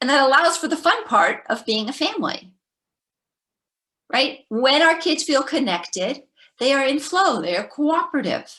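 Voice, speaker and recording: A woman's bright, sharp, high-pitched voice, raised and projected, with very wide pitch swings and long, frequent pauses. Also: moderate pace. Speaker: parenting educator, former teacher. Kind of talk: webinar presentation.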